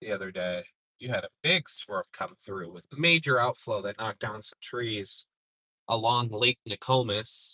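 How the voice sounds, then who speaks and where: Bright and sharp in tone, a man with a Minnesotan accent talks at a moderate pace and medium pitch with lively intonation, in a dry, close sound with no echo. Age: 40s. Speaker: storm chaser. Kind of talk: live stream commentary.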